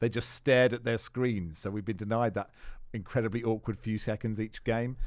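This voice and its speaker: A man speaks with an Estuary accent and fairly even intonation. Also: medium pitch for a man, fairly quick pace, very clean recording, silent background. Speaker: football podcast host. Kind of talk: casual chat.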